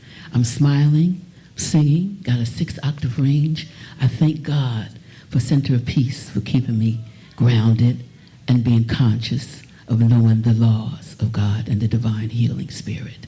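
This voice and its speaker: Fairly slow speech with ordinary pitch variation and music in the background. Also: woman, very deep, low pitch for a woman. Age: 80s+. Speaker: singer. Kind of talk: testimony.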